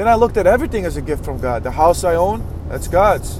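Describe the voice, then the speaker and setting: A man with a high-pitched voice is heard with audible room echo and noticeable background noise. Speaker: podcast host, motivational speaker. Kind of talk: motivational monologue.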